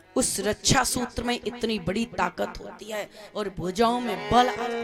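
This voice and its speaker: Over music in the background, a woman talks in a fairly high pitch. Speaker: religious storyteller. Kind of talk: spiritual discourse.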